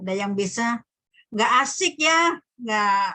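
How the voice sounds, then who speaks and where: The pace is very slow. The tone is bright and sharp. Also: woman. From Sumbawa, Dompu, Indonesia. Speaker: lecturer. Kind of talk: online lecture, casual chat with students.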